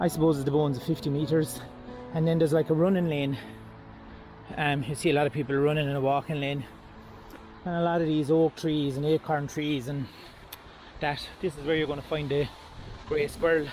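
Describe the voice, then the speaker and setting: A man with an Irish accent, fairly high pitch and monotone, flat intonation, at a fairly quick pace with long, frequent pauses, over music in the background. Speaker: wildlife photographer vlogger. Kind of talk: casual vlog narration. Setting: outdoors in a park. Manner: loud then quiet.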